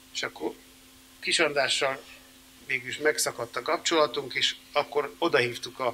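Light background noise sits behind a man who speaks at a fairly slow pace with ordinary pitch variation. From Hungary. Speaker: composer and band founder; interviewee. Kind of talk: interview before audience. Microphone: studio mic.

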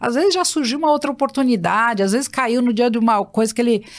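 The speaker is a woman. Her background is quiet. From São Paulo, Brazil (east zone, Itaquera); São Paulo, Brazil. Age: 60s. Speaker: recruitment company founder; guest. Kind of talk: interview conversation. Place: studio. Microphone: studio mic.

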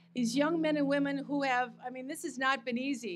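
A woman talks at a high pitch with ordinary pitch variation. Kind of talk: ceremony speech. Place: stage. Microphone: podium.

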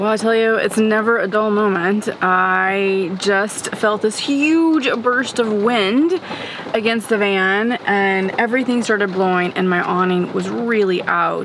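At a fairly slow pace, a woman talks with ordinary pitch variation, her dry sound carrying no echo over light background noise. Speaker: van camper vlogger. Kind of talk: casual vlog chat. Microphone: phone near.

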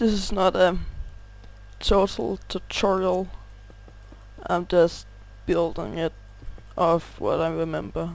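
A man speaks at a very slow pace in a Danish accent. Long, frequent pauses break up his speech. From Denmark. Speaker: gaming youtuber. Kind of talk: gameplay tutorial. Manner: halting, pauses to find words.

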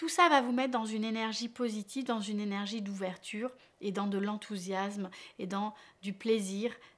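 A woman is talking here. Her pace is moderate. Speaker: relationship coach. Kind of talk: advice talk to camera. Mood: warm, encouraging. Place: home room.

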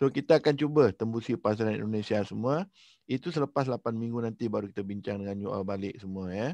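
Over a quiet background with a dry sound and no echo, a man with a dark, mellow tone talks at a very fast pace using ordinary pitch variation. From Malaysia. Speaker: coach and host. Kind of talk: online briefing presentation. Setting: video call. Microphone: headset.

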